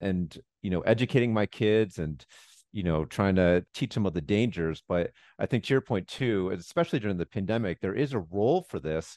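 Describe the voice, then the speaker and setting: An ordinary speaking voice from a man, fairly low in pitch and lively in intonation, at a fairly quick pace, with a dry, close sound with no echo and a quiet background. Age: 40s. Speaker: public health doctor and podcast host. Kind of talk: interview.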